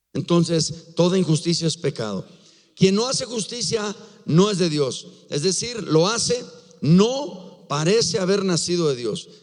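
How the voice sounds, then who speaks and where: This man speaks fairly slowly with a high pitch. Noticeable background noise can be heard. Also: lively intonation. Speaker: pastor. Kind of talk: sermon.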